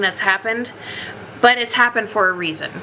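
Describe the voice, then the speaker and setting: A woman with a fairly high pitch speaks against noticeable background noise. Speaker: tarot card reader. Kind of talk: tarot reading to camera.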